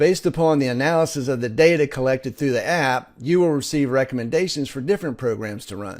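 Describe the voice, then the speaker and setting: A man rattles along at a very fast pace with hardly any pauses, lively intonation and fairly high pitch. The recording is very clean with a silent background. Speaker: presenter. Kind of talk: sales pitch.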